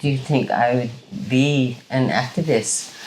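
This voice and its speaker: In a Hawaiian accent, a woman with a very deep, low pitch speaks very slowly, with audible room echo and noticeable background noise. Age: 70s. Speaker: Native Hawaiian activist. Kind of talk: interview. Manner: halting, many fillers.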